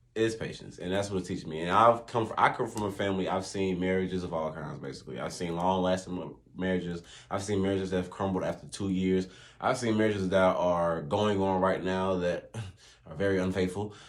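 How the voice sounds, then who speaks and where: With audible room echo, a man speaks at a fairly quick pace in a very deep, low pitch and fairly even intonation. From US South. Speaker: podcast guest, host's partner. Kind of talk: casual chat. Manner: calm, not loud.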